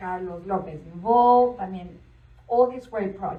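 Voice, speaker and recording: A woman speaks with a strong Spanish accent at a moderate pace. Her pitch varies in an ordinary way, and the room echo is audible. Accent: thick Spanish. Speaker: event host. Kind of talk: panel Q&A moderation.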